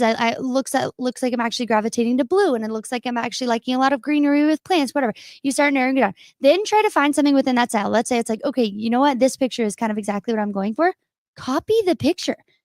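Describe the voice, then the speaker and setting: The speech comes at a very fast pace with ordinary pitch variation. The sound is dry and close with no echo, on a very clean recording with a silent background. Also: woman, high pitch for a woman. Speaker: marketing and design guest. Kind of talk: casual chat.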